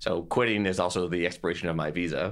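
In a very clean recording with a silent background, a man talks with a very deep, low pitch and a bright, sharp tone. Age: 30s. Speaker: entrepreneur, former tech executive. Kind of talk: interview.

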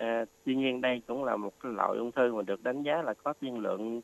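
Very fast speech comes from a man at a medium pitch with ordinary pitch variation. The sound is dry and close, with no echo. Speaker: oncology doctor. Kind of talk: expert health advice. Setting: radio studio. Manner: halting, many fillers.

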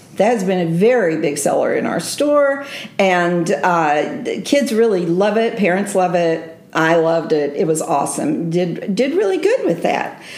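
Over noticeable background noise, a woman speaks with lively intonation and very even loudness. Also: medium pitch for a woman, fairly slow pace. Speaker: bookstore host. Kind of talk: casual interview.

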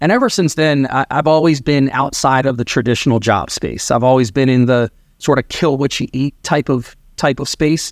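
A man speaks in a plain, everyday voice with an American accent, a medium pitch, ordinary pitch variation and a moderate pace, in a very clean recording with a silent background and a dry, close sound with no echo. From Maryland. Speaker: real estate team leader. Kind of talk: interview.

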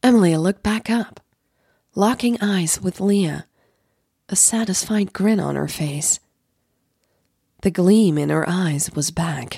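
A woman with a fairly low pitch speaks slowly, leaving long, frequent pauses. Her tone is dark and mellow, with vocal fry and a slightly husky edge, on a very clean recording with a silent background. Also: ordinary pitch variation.

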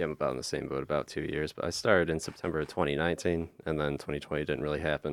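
Speaking at a very fast pace with hardly any pauses, a man uses a very deep, low pitch, vocal fry and monotone, flat intonation. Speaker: student stand-up comedian. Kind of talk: casual chat. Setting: radio studio.

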